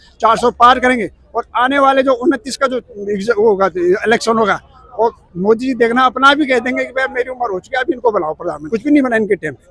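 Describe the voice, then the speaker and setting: A man's extremely high-pitched voice with ordinary pitch variation at a moderate pace, dry and close with no echo, over noticeable background noise. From Uttarakhand, India. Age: 60s. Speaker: retired government clerk. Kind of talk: street interview. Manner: animated.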